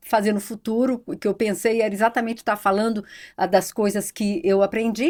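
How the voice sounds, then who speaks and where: At a fairly quick pace, a woman speaks with a fairly high pitch and a plain, everyday voice. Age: 60s. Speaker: economist and psychology researcher. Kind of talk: podcast interview.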